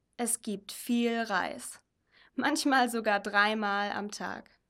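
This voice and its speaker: Over a very clean recording with a silent background, a woman speaks very slowly with long, frequent pauses, in a bright, sharp tone at a fairly high pitch with ordinary pitch variation. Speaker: mission volunteer. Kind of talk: reading aloud.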